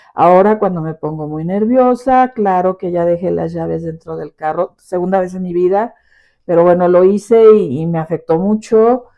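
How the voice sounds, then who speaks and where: Her loudness swinging widely, a woman speaks at a fairly low pitch with ordinary pitch variation. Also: moderate pace. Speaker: podcast host and teacher. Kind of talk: personal reflection podcast. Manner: expressive; forceful.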